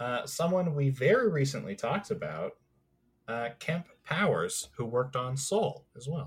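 A man talks in a fairly high pitch. His intonation is lively and his pace fairly slow. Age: 20s. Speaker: podcast co-host. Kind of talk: casual chat.

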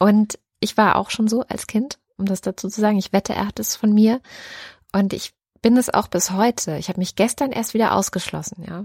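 In a very clean recording with a silent background and a dry, close sound with no echo, a somewhat breathy voice talks at a moderate pace with fairly even intonation. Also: woman, medium pitch for a woman. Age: 30s. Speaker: podcast co-host. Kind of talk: casual chat.

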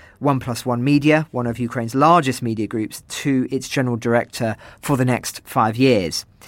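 A man with an English accent speaks at a medium pitch and moderate pace, with fairly even intonation, in a very clean recording with a silent background. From England. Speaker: journalist and interviewer. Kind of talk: interview.

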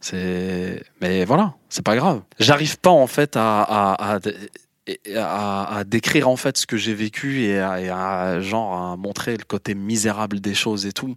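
Very slow and fairly low-pitched, a man speaks in a dry, close sound with no echo, on a very clean recording with a silent background. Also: ordinary pitch variation. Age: 40s. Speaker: interviewee. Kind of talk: personal testimony.

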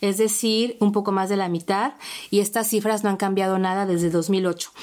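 A woman talks at a fairly slow pace while noticeable background noise runs underneath. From Mexico. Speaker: podcast host. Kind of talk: podcast interview. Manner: halting, repeats words.

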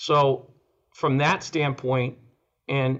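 A quiet background surrounds this man. His voice sits at a medium pitch. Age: 60s. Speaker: oral surgeon. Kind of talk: interview.

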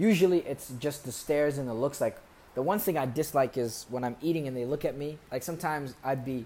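Speaking at a fairly quick pace, a man with an American accent has an unremarkable speaking voice, fairly high pitch and ordinary pitch variation. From US Midwest (Columbus, Ohio), Somali family. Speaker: poet. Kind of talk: casual chat.

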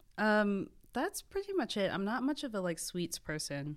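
At a fairly slow pace, a woman with an American accent and medium pitch makes very wide pitch swings. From Maryland, near Washington DC. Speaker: food writer and podcast host. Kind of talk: casual interview chat.

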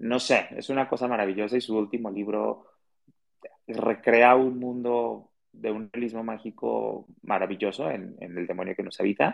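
A man with a Guadalajara accent speaks at a moderate pace, his medium pitch carried by fairly even intonation. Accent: Mexican Spanish (Guadalajara). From Mexico, Guadalajara. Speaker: author and radio host. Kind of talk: interview.

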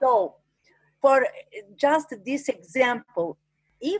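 A woman with an Italian accent talks at a very slow pace. Her pitch is high. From Italy, Umbria. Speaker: arboreal archaeologist, fruit tree preserver. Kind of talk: interview. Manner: halting.

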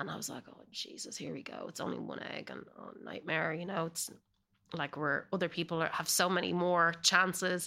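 Recorded very cleanly against a silent background, a woman with an American accent speaks in a fairly low, bright, sharp voice with monotone, flat intonation. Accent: Irish, slight Californian layering. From Ireland. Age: 40s. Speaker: actor. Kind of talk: casual chat.

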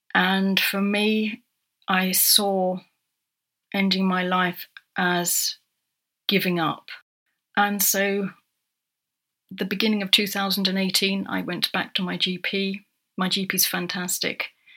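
A woman's bright, sharp voice at a very slow pace, monotone and flat, with long, frequent pauses, on a very clean recording with a silent background. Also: medium pitch for a woman. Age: 40s. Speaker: writer and menopause advocate. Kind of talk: personal testimony. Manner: halting.

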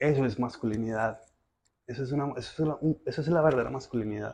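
Delivered with a paisa accent, the somewhat breathy voice keeps a fairly even intonation. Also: man. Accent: paisa Colombian Spanish. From Colombia, Medellín (Moravia neighbourhood). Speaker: philosopher and personal trainer. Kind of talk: casual interview.

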